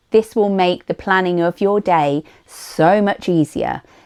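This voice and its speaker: A woman with a fairly low pitch and a dark, mellow tone speaks with ordinary pitch variation in a dry, close sound with no echo. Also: quiet background. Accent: British. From United Kingdom. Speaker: vlogger. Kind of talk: tutorial.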